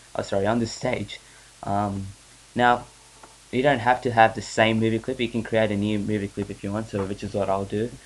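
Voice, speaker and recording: Talking at a fairly quick clip, a man with a fairly low pitch keeps a flat, monotone intonation over noticeable background noise. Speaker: software tutorial maker. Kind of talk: screen-recorded software tutorial. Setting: home recording, weak mic. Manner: hesitant, many filler sounds.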